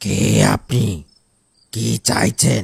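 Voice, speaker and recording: A man puts on a raspy, cartoonish character voice. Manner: curt, insistently hospitable.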